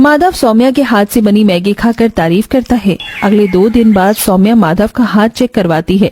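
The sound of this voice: A woman's medium-pitched voice, slightly mellow in tone, with ordinary pitch variation. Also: moderate pace.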